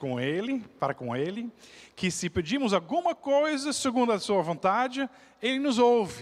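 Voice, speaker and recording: This man speaks with a non-native accent at a fairly slow pace. His pitch swings very widely. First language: not Portuguese (speaking Portuguese). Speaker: pastor. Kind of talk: sermon. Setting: church.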